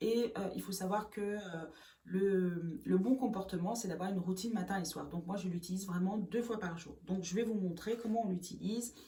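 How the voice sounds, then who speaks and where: A woman's voice at a moderate pace with ordinary pitch variation, audible room echo and noticeable background noise. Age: 40s. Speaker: beautician and makeup artist. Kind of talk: beauty tutorial. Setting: home bathroom. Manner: hesitant, many filler sounds.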